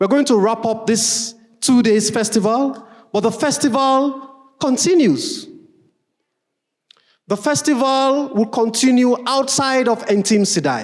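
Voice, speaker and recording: With extremely high pitch for a man, he keeps his loudness very even and leaves long, frequent pauses. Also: ordinary pitch variation, fairly slow pace. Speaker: event emcee introducing keynote speaker. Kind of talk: event introduction speech. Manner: slow.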